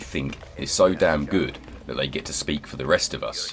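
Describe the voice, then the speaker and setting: A man with a British accent speaks over noticeable background noise. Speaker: gaming YouTuber. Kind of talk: casual commentary over gameplay.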